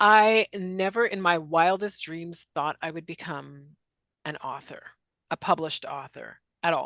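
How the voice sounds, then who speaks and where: A plain, everyday voice from a woman, fairly low in pitch, at a fairly slow pace with ordinary pitch variation and big swings in loudness, dry and close with no echo against a quiet background. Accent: Canadian. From western Canada. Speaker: author and career instructor. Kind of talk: interview.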